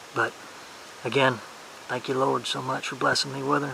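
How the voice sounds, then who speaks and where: A soft-spoken man with an American accent, over noticeable background noise. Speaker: hunting vlogger. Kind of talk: casual vlog narration. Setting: outdoors in the woods. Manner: soft-spoken, keeping voice down.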